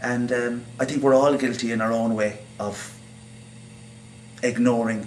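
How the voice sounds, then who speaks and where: Monotone, flat intonation from a man, with long, frequent pauses and noticeable background noise. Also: medium pitch for a man, moderate pace. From Ireland. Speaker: actor and playwright. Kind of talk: interview answer.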